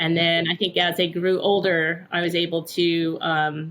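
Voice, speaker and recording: The voice belongs to a woman with a fairly low pitch. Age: 60s. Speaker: gym member, retired teacher. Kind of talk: interview answer.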